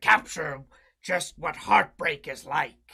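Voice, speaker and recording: A put-on character voice, raspy and unhurried at a fairly slow pace. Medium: game stream. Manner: reflective, storytelling.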